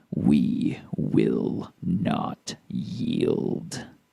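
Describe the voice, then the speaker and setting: A man growls in a put-on character voice pitched high. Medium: actual play.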